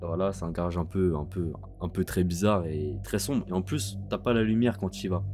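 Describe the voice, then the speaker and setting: With music in the background, a man speaks at a very deep, low pitch and a fairly quick pace, using fairly even intonation. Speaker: YouTuber. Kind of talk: storytime. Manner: calmer voice than usual; halting, many fillers.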